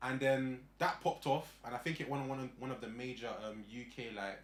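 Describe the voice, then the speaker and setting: A man speaks with a London accent. His pitch sits fairly high. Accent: London, multicultural London English. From Northwest London. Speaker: content creator. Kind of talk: casual chat.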